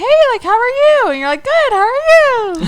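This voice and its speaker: An extremely high, squeaky put-on character voice comes at a moderate pace in a cheerful tone. Pitch swings very widely, with light background noise. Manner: cheerful, polite.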